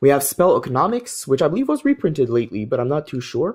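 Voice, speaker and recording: This is a man's voice. He speaks with a French accent. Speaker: trading card game YouTuber. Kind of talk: pack opening video, casual commentary.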